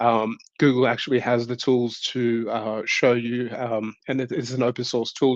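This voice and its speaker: Over a quiet background, a man's medium-pitched voice comes through dry and close, with no echo. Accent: Australian. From Australia. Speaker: tech conference speaker. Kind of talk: online tech talk. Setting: virtual event. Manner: hesitant, many fillers.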